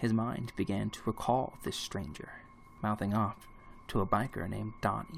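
Intonation here is fairly even. The delivery is a natural reading voice.

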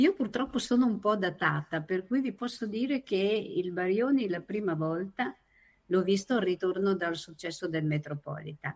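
A woman with medium pitch speaks in an ordinary speaking voice, with lively intonation at a moderate pace. The recording is very clean, with a silent background. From Copparo, Emilia-Romagna. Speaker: association administrator, friend of the tenor. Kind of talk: casual chat.

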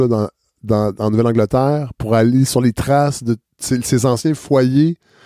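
A man speaks with a dark, mellow tone and ordinary pitch variation. The sound is dry and close, with no echo. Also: very clean recording, silent background. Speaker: podcast host and former radio worker. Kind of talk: casual interview. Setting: at his home.

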